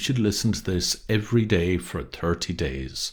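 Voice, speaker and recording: Vocal fry and lively intonation from a man at a moderate pace. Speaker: hypnotherapist. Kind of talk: recording introduction.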